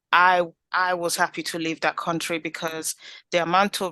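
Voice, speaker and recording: The tone is bright and sharp, delivered at a moderate pace. The sound is dry and close with no echo over a quiet background. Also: woman. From Italy. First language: Italian. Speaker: community group founder. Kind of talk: interview.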